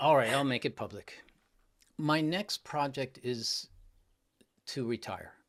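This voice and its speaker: A man's fairly high voice with ordinary pitch variation and long, frequent pauses, on a very clean recording with a silent background. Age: 60s. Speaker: public speaking coach. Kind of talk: interview.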